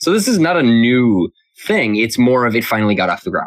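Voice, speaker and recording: Here is a man with an unremarkable speaking voice. He talks at a fairly quick pace with ordinary pitch variation. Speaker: Magic artist and art show organizer. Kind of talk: interview conversation.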